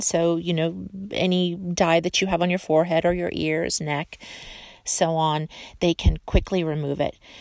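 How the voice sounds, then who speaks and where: Speaking at a fairly slow pace, a woman with a fairly low pitch uses an ordinary speaking voice, recorded with a dry, close sound and no echo. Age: 40s. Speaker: beauty podcaster. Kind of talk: casual monologue. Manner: chatty.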